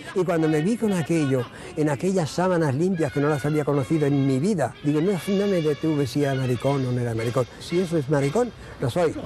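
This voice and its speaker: A man with a fairly high voice talks at a fairly quick pace over music in the background. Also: ordinary pitch variation, very even loudness. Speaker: interviewee. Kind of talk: testimony.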